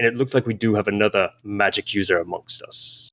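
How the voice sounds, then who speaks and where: Using a put-on character voice, a man talks fairly quickly at a fairly low pitch. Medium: actual play. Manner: measured, suspicious.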